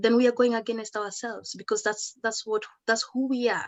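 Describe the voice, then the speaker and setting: A woman speaks with a Kenyan accent. Her pitch is fairly high. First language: Kikuyu. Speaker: educator and musician. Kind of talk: talk at an online celebration.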